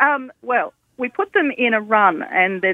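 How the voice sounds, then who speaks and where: A cheerful tone with an Australian accent. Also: woman. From Tasmania, Australia. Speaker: event organiser. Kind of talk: phone interview. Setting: phone call. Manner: cheerful, laughs often.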